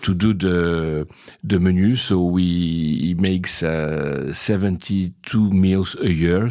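At a very slow pace, a man speaks in a very deep, low pitch with fairly even intonation. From Brazil, then France from age seven. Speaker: investor and company president. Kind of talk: interview. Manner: halting.

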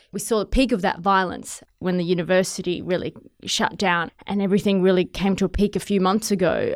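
In a very clean recording with a silent background, a woman talks at a fairly quick pace, her medium-pitched voice keeping a fairly even intonation. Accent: Australian. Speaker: television journalist. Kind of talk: interview.

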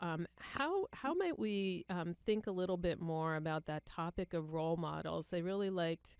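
A normal speaking voice with an American accent and ordinary pitch variation moves at a fairly slow pace. The sound is dry and close with no echo. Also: woman. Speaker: podcast host, nurse executive. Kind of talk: podcast hosting, interview.

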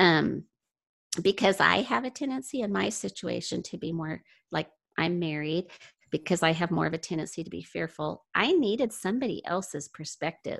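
A woman speaks at a moderate pace in a fairly low register, with vocal fry and lively intonation. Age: 60s. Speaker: mother sharing parenting experience. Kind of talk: casual interview. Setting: video call.

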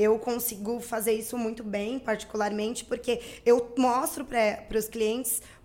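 At a moderate pace and a fairly high pitch, a woman with an unremarkable speaking voice speaks with fairly even intonation. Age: 30s. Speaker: marketing agency owner. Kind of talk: interview.

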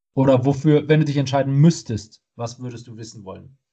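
A man speaks at a fairly high pitch in a dark, mellow tone. His voice is somewhat breathy, with ordinary pitch variation. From Germany, not Munich. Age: 30s. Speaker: podcast co-host. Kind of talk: casual chat. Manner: halting, many fillers.

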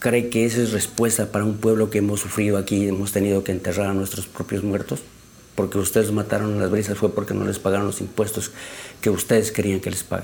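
Very fast, monotone speech from a man with a fairly low pitch, over noticeable background noise. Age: 60s. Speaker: community leader. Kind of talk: testimony.

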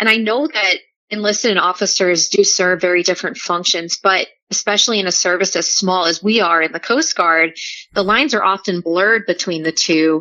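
A woman with an American accent speaks at a medium pitch and a fairly quick pace, with ordinary pitch variation. It is an ordinary speaking voice. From New Orleans, US. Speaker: coast guard public affairs specialist. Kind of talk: podcast interview.

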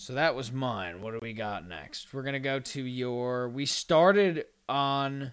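In an ordinary speaking voice, a man talks at a fairly slow pace and medium pitch with lively intonation and hardly any pauses, on a very clean recording with a silent background. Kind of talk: casual podcast interview banter. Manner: laughing, chatty, self-deprecating.

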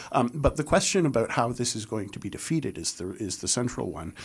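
With a Canadian accent, a man speaks at a fairly quick pace. He has a normal speaking voice and a medium pitch. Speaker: political organizer. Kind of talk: panel discussion on politics. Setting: radio studio.

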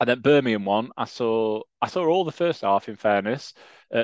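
Someone with a Yorkshire accent talks at a moderate pace with ordinary pitch variation, recorded in a dry, close sound with no echo against a quiet background. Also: man. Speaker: football fan podcast co-host. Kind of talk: casual chat.

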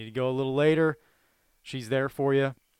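Fairly high in pitch with fairly even intonation, a man speaks in an ordinary speaking voice, the sound dry and close with no echo in a very clean recording with a silent background. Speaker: sports podcast co-host. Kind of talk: casual chat.

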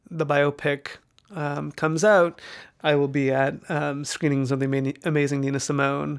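The speaker has a Canadian accent. The recording is very clean, with a silent background. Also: man. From Canada, Vancouver. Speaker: documentary filmmaker. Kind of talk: interview. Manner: hesitant, many fillers.

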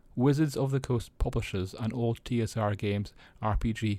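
With a Scottish accent, a man speaks at a moderate pace in a fairly low pitch with fairly even intonation, on a very clean recording with a silent background. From Scotland. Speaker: tabletop gaming news podcaster. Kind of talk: news roundup monologue.

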